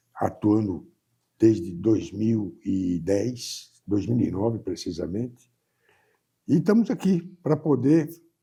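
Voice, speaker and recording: Very slowly, a man talks with vocal fry and a dark, mellow tone while his pitch swings very widely. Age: 80s+. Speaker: business executive. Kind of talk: interview.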